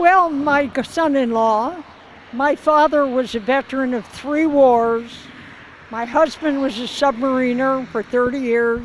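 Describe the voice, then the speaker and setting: Over noticeable background noise, a woman with a high voice speaks at a fairly slow pace with ordinary pitch variation. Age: 80s+. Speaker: charity ride participant. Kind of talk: interview.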